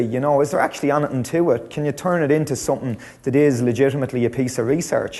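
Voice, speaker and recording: With a Dublin accent, a man rattles along at a very fast pace in a fairly high voice. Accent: Irish, Dublin. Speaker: lecturer. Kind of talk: conference talk. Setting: stage with audience.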